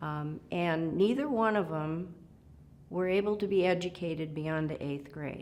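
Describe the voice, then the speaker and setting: A woman speaks in an Upper Midwest accent, her pitch fairly low with ordinary variation. Audible room echo surrounds her voice. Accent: Upper Midwest American. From South Dakota, Gregory County farm. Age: 70s. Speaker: retired supreme court justice. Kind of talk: oral history interview. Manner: halting, many fillers.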